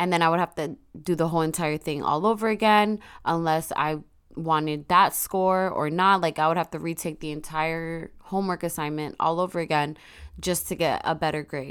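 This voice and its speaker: A woman's fairly low pitch and fairly even intonation at a moderate pace, in a very clean recording with a silent background. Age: 20s. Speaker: solo podcaster. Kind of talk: personal monologue.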